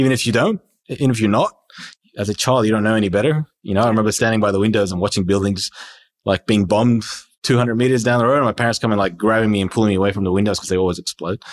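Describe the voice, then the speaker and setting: On a very clean, dry and close recording with a silent background, a man with an Australian accent speaks very fast in a fairly low pitch with fairly even intonation. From Iran, moved to Australia at nine. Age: 30s. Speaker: entrepreneur. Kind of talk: casual interview chat.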